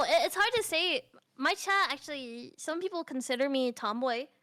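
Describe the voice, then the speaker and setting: A woman speaks in a raised, projected voice at a moderate pace. Her pitch is extremely high and swings very widely. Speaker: vtuber. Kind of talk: casual chat. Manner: animated.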